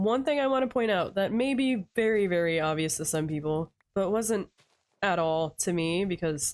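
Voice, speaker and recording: Soft-spoken woman at a medium pitch with very wide pitch swings. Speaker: vtuber gamer. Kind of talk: relaxing gameplay commentary. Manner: calm, soft-spoken.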